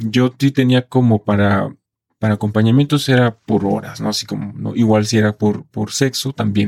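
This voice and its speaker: A man with an ordinary speaking voice talks at a fairly low pitch and a moderate pace. His intonation stays fairly even, and the sound is dry and close with no echo. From Mexico, Colima. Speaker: male sex worker. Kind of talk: interview testimony. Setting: studio.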